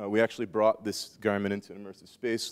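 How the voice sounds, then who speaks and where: Against a silent background in a very clean recording, a man with an American accent talks at a very fast pace. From US South, South Carolina. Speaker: conference speaker, apparel tech professional. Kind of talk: conference talk. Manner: casual with frequent fillers.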